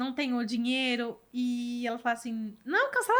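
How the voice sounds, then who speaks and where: Animated female voice at a high pitch. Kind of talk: casual interview. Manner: fast.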